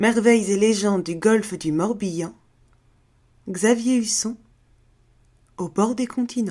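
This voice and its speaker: A woman speaks at a very slow pace, with long, frequent pauses. Her pitch is fairly high, her tone dark and mellow, and her pitch variation ordinary. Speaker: voice actress and storyteller. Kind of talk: scary folk tale narration.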